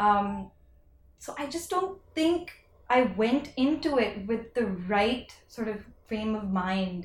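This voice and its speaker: A somewhat breathy woman talks at a very slow pace, her fairly high pitch swinging very widely. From India. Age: 30s. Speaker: fashion entrepreneur. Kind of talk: casual interview chat.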